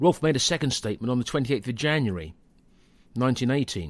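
An ordinary speaking voice from a man at a medium pitch, fairly quick and with lively intonation. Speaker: podcast narrator.

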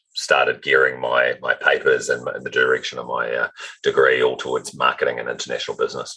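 Speaking at a very fast pace in a raised, projected voice, a man with an extremely high pitch and a bright, sharp tone talks with a New Zealand accent. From New Zealand, Auckland North Shore. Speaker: automotive retail executive. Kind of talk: interview.

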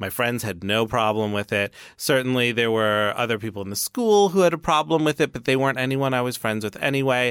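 A man with an American accent speaks at a fairly quick pace in a plain, everyday voice, his medium pitch carried by lively intonation with hardly any pauses, on a very clean recording with a silent background. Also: dry, close sound with no echo. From New York City. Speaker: author. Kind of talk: interview.

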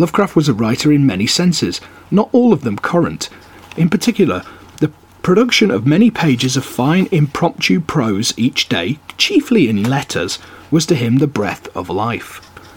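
Over noticeable background noise, a man talks in a fairly high voice with very wide pitch swings. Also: moderate pace. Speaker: podcast host reading aloud. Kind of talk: literary audiobook reading of an essay. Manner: measured, steady, formal reading pace; relaxed, chatty in intro and outro.

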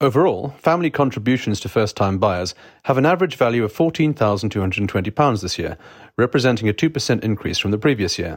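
A man is speaking. His pace is very fast. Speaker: bulletin presenter. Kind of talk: formal news reading of property market bulletin. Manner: measured, even-paced, impersonal newsreader delivery; crisp and formal, reading out statistics and figures.

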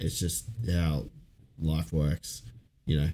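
At a fairly slow pace, a man talks with an Australian accent. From Ipswich, Queensland, Australia. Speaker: podcast co-host. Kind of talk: casual chat.

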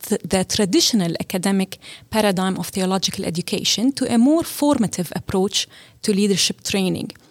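Close and dry with no echo, a woman's plain, everyday voice at medium pitch moves at a fairly quick pace with lively intonation. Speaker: seminary partnerships director. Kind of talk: interview.

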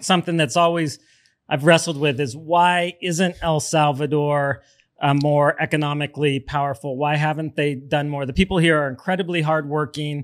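On a very clean recording with a silent background, a man with a plain, everyday voice speaks at a fairly high pitch with fairly even intonation. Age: 50s. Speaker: podcast host. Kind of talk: interview. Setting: studio.

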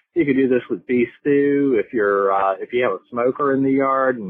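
Delivered at a moderate pace, this man's speech carries a Southern US accent. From North Carolina. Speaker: caller. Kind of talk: voicemail message. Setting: phone voicemail.

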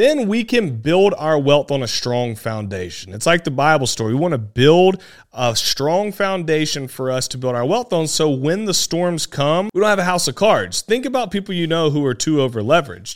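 A man with an American accent speaks at a moderate pace with hardly any pauses, his fairly high voice swinging very widely in pitch, in a very clean recording with a silent background. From South Carolina. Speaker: podcast host, real estate investor. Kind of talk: solo podcast monologue.

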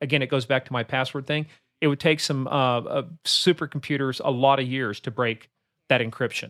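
A man with an American accent uses a normal speaking voice at a medium pitch, fairly quick pace and fairly even intonation, in a very clean recording with a silent background. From Kansas. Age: 60s. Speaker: cybersecurity expert. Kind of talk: interview.

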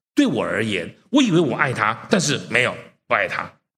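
Audible room echo surrounds a man who speaks at a moderate pace with very wide pitch swings. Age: 60s. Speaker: preacher. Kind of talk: sermon.

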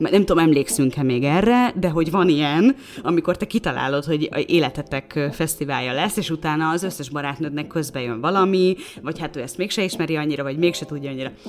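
Over noticeable background noise, a woman talks very fast in a very deep, low pitch. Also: ordinary pitch variation. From Hungary, Szolnok. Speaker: podcast co-host. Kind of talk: casual chat.

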